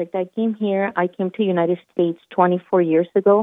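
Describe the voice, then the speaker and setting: With a Spanish accent, a woman speaks at a moderate pace and fairly low pitch, keeping her intonation fairly even. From Michoacan, Mexico. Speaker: health equity advocate. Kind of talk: interview.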